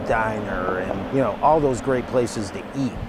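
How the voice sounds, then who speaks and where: A man speaks in an enthusiastic tone over noticeable background noise. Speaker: event director. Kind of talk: interview answer.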